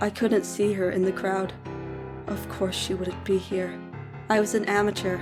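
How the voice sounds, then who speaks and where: The speaker is a woman with a medium pitch. Background music can be heard. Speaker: story narrator. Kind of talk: horror story narration.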